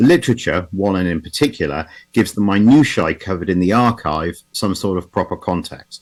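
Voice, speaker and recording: Speaking with an English accent, a man with a very deep, low pitch talks at a fairly quick pace with hardly any pauses and ordinary pitch variation. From England. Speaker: automotive historian. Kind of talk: conference talk. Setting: video call. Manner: halting, with repetitions.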